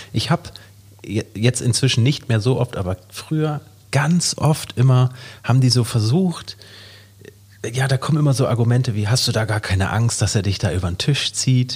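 A somewhat breathy man's voice with ordinary pitch variation and long, frequent pauses. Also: medium pitch for a man, moderate pace. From Hamburg, northern Germany. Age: 30s. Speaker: entrepreneur and podcast co-host. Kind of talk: casual chat.

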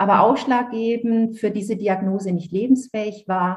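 A somewhat breathy woman's voice at a fairly slow pace with ordinary pitch variation. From Franconia, Germany (Nuremberg). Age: 50s. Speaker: author. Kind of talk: interview testimony.

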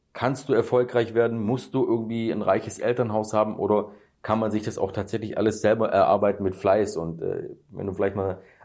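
This man has a plain, everyday voice at a medium pitch, heard over a quiet background. He moves at a fairly quick pace with fairly even intonation. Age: 30s. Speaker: real estate YouTuber. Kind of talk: casual interview.

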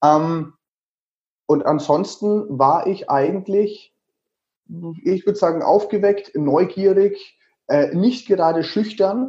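In a Franconian accent, a man with a high pitch and dark, mellow tone speaks at a very slow pace, with long, frequent pauses and very even loudness. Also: ordinary pitch variation. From Lower Franconia, Germany (Würzburg). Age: 30s. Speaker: travel blogger and author. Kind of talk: interview.

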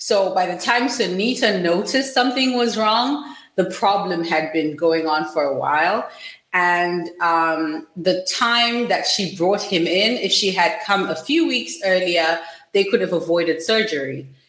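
Amid noticeable background noise and audible room echo, a woman speaks fairly slowly at medium pitch with lively intonation. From Zimbabwe. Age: 20s. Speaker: startup founder. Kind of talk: interview.

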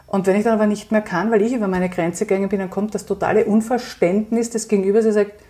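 Amid noticeable background noise, a woman talks at a fairly quick pace with a fairly high pitch and fairly even intonation. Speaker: psychological counsellor and resilience coach. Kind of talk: interview.

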